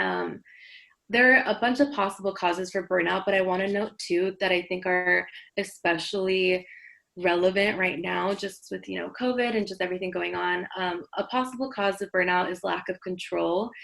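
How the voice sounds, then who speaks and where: Medium-pitched woman with fairly even intonation. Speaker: counselor at a survivor support agency. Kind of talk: workshop presentation. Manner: fast; casual, with many fillers.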